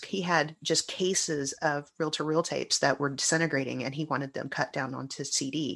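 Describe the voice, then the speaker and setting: In a quiet background, a woman speaks at a moderate pace with a very deep, low pitch and ordinary pitch variation. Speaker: guest, broadcaster and fan. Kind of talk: casual chat.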